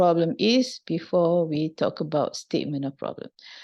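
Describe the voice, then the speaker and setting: A woman speaks with a non-native accent. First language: not English. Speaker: university lecturer. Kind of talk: lecture. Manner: halting.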